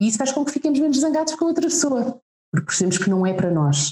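A woman talks at a very fast pace with very wide pitch swings. The sound is dry and close, with no echo. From Portugal (Lisbon), teen years in Macau. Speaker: communications adviser, mother. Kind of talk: casual interview chat.

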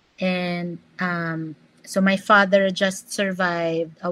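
In a monotone, flat intonation, a woman speaks at a very slow pace. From Philippines. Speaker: physician and wellness coach. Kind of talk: casual interview chat.

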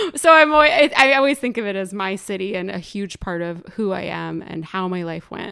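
Her bright, sharp tone set at a medium pitch, a woman with an American accent races along at a fairly quick pace with hardly any pauses and very wide pitch swings. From northern New Jersey (Morristown). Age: 30s. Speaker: filmmaker and sound engineer. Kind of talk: casual chat. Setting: home.

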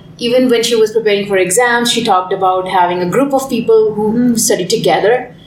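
Noticeable surrounding noise beneath fairly even intonation. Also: woman, very even loudness. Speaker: podcast co-host. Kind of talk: casual discussion.

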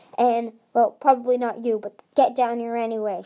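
Using a put-on character voice, a woman growls at a fairly high pitch and a moderate pace. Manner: snarling, mocking.

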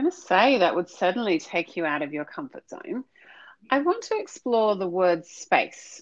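A fairly high woman's voice with very wide pitch swings and big swings in loudness. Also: moderate pace. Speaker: podcast host. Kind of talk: interview.

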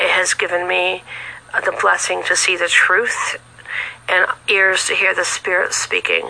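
Someone with an American accent talks at a fairly slow pace, with long, frequent pauses. The loudness stays very even, and noticeable background noise is heard. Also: woman. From California. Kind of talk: testimony. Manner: halting, many fillers.

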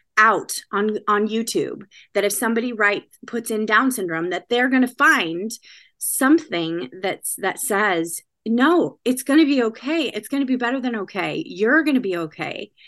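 A woman with a Californian accent talks at a moderate pace, her fairly high voice making very wide pitch swings over a quiet background. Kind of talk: podcast interview.

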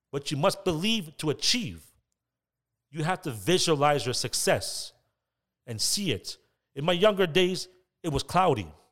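On a very clean recording with a silent background, a man with a Toronto accent talks at a moderate pace in a high pitch, his intonation lively and his pauses long and frequent. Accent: Toronto Canadian English. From Canada, Scarborough (Toronto). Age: 30s. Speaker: podcast host. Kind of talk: motivational monologue.

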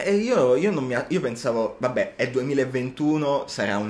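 A man is speaking here. His pace is very slow. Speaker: university student podcast co-host. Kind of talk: casual chat. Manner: animated.

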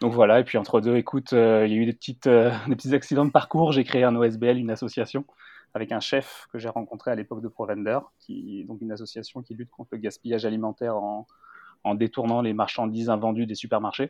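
A man speaks at a very fast pace in a medium pitch, with a dark, mellow tone. His intonation is monotone and flat, while his loudness swings widely. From Normandy, France. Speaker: entrepreneur. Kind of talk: interview. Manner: hesitant, many fillers.

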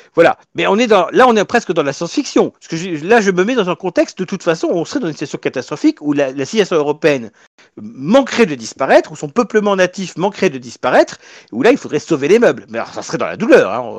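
Over a quiet background, a man talks at a very fast pace. His pitch is high and swings very widely. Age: 40s. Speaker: political party leader. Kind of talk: interview.

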